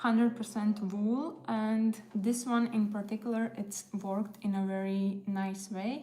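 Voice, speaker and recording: Music plays in the background as a woman with a Latvian accent speaks very slowly at a fairly high pitch with fairly even intonation. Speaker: crochet content creator. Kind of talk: casual livestream chat while crafting. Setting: live stream, music in background. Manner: casual, hesitant with fillers.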